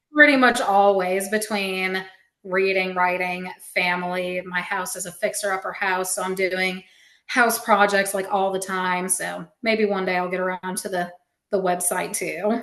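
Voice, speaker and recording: Against a quiet background, a woman with a bright, sharp tone speaks at a fairly slow pace in a medium pitch, keeping her intonation fairly even. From Alabama. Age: 30s. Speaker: fantasy author. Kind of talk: casual chat.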